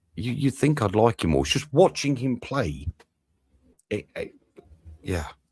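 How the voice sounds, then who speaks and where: A man's voice shows vocal fry and very wide pitch swings at a moderate pace. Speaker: football channel host. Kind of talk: live match watch-along commentary. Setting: live stream. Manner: animated.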